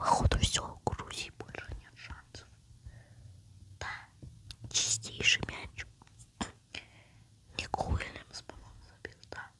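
Whispered words come at a very slow pace, broken by long, frequent pauses. Beneath them sits noticeable background noise. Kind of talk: casual gaming commentary. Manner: whispering.

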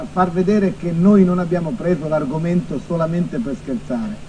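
Over noticeable background noise, a man with a high pitch speaks at a moderate pace with ordinary pitch variation. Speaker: TV journalist and show host. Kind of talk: TV interview questions.

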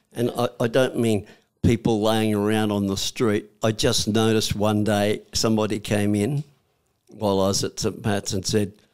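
A man with a fairly low pitch speaks in an Australian accent at a moderate pace. The background is quiet. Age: 80s+. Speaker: war veteran. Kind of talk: interview answer. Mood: warm, reflective. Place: studio. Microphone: studio mic.

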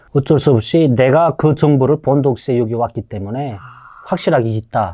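Against a quiet background, a man speaks at a moderate pace in a dark, mellow tone, with ordinary pitch variation and big swings in loudness. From North Korea. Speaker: North Korean defector; interview guest. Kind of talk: interview; interview answer. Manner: halting, many fillers. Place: studio. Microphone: lapel.

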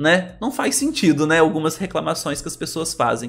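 A man with a fairly high pitch. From Brazil. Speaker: celebrity gossip youtuber. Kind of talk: casual commentary, reading news aloud. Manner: animated. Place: home room.

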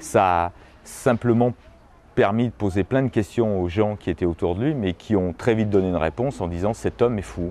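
This man has a dark, mellow tone and a fairly low pitch. He talks at a moderate pace with ordinary pitch variation. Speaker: expert on the folk-art palace's history. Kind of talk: storytelling explanation.

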